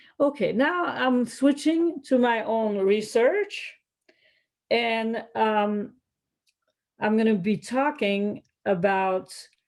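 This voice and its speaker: Speaking at a very slow pace, a woman with a French accent has a fairly high pitch and lively intonation. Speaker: economics researcher. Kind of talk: academic presentation. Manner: hesitant, with fillers.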